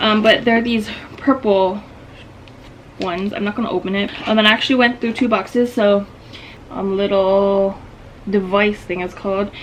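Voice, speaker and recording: Over noticeable background noise, a woman speaks at a moderate pace in a medium pitch with monotone, flat intonation and long, frequent pauses. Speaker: lifestyle vlogger. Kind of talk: casual vlog tutorial. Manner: casual, many filler ums.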